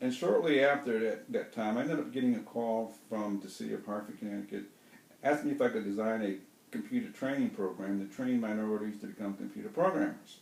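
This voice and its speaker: A man talks very fast, with audible room echo and noticeable background noise around him. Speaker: trainer telling his life story. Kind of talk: personal monologue. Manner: repetitive, halting.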